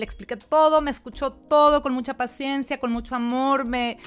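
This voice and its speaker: Fairly even intonation from a woman with a high voice, delivered at a moderate speed. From Mexico. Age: 40s. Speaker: podcast host and life coach. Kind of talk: personal testimony monologue.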